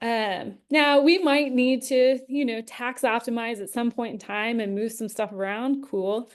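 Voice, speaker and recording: A woman speaks in a normal speaking voice, fairly high in pitch, with ordinary pitch variation and hardly any pauses. The background is quiet. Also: fairly slow pace. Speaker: investment educator and show host. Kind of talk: live webinar Q&A. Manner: casual with many fillers.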